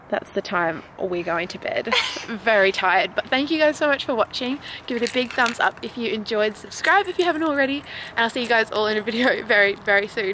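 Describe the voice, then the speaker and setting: Noticeable background noise sits under a dry sound with no echo. A woman speaks at a fairly quick pace. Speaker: fitness vlogger. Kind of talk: casual vlog chat. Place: street. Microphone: phone near.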